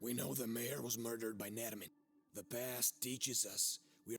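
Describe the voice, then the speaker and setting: Putting on a raspy character voice at medium pitch, a man speaks at a moderate pace over background music. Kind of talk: dark horror-game dialogue. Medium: video game. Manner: cryptic, ominous, commanding.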